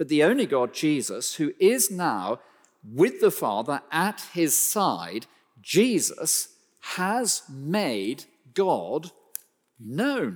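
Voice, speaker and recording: On a very clean recording with a silent background, a man with a fairly high pitch and vocal fry speaks very slowly, his pitch swinging very widely. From West Country, England. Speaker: preacher. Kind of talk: sermon.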